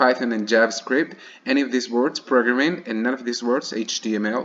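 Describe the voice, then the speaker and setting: A man talks at a fairly quick pace, with medium pitch and ordinary pitch variation. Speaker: student. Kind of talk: screencast demo. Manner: halting, with fillers and restarts.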